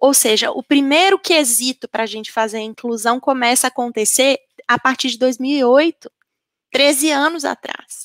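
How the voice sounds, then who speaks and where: A woman speaks in a Minas Gerais accent at a high pitch, with ordinary pitch variation and a moderate pace. The recording is very clean with a silent background and a dry, close sound with no echo. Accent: Minas Gerais (mineiro). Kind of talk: panel discussion answer.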